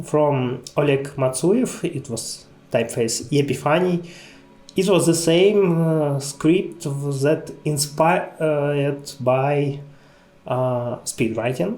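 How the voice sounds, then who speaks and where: With music in the background, a man with a non-native accent speaks at a very slow pace in a fairly high pitch with ordinary pitch variation. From Ukraine. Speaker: type designer. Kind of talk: conference lecture.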